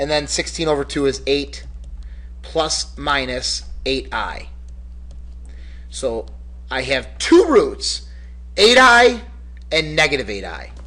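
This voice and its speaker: A man talks at a very slow pace, his speech broken by long, frequent pauses. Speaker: math teacher. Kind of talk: lecture. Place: classroom. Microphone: webcam.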